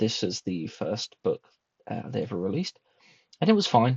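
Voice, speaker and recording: A man with a British accent talks in a somewhat breathy voice. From Britain. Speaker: booktuber. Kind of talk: casual monologue review. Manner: hesitant, many fillers.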